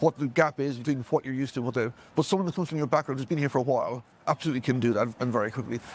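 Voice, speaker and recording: Here a man talks at a very fast pace. His pitch is fairly high, with ordinary variation. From Ireland. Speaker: project manager and mentor. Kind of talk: interview. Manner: halting, many repeated words.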